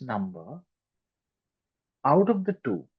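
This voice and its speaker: Talking very slowly, a man lets his pitch swing very widely. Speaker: maths tutor. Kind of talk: online class lesson.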